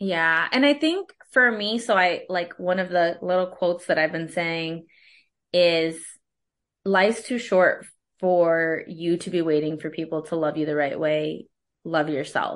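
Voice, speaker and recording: A woman with an ordinary speaking voice talks at a fairly slow pace in a fairly low pitch, with ordinary pitch variation against a quiet background. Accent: American. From US Midwest, West Michigan. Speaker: coach and HR consultant, podcast host. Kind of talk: casual interview chat.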